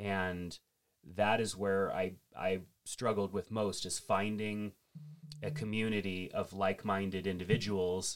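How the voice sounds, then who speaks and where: This man has an ordinary speaking voice, fairly low in pitch, delivered at a fairly slow pace with fairly even intonation. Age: 40s. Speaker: church ministry director and podcast host. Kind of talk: casual chat.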